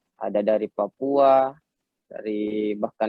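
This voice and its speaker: Here a man speaks with a Makassar accent in a fairly low voice. His intonation stays flat and monotone. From Makassar, South Sulawesi, Indonesia. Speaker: professional footballer. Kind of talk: talk show interview. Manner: halting, many fillers.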